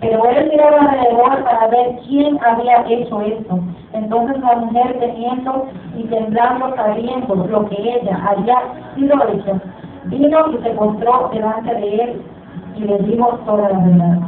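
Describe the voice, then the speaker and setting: A woman speaks at a fairly high pitch and a fairly slow pace, with ordinary pitch variation. Light background noise and audible room echo are present. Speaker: preacher. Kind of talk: sermon, scripture reading aloud. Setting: church. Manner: fervent, call-and-response style. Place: church. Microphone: camera far.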